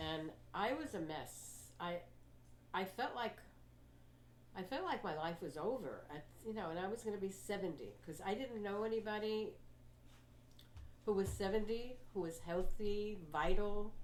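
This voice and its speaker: A woman with an American accent at a medium pitch and moderate pace, with ordinary pitch variation, long, frequent pauses and audible room echo. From New York (Queens). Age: 80s+. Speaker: health coach and motivational speaker. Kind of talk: talk to a library audience.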